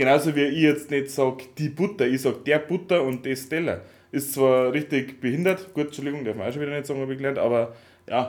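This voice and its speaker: Fairly quick speech from a man with a fairly high pitch and fairly even intonation. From Upper Bavaria, near Swabian border. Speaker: podcast co-host. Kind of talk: casual chat. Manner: loud. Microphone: laptop recording, levels too quiet.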